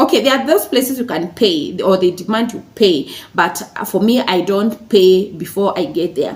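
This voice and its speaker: A woman speaks at a moderate pace with hardly any pauses, using a medium pitch and lively intonation. Background noise is noticeable. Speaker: lifestyle YouTuber. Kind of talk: tutorial. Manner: halting, many fillers.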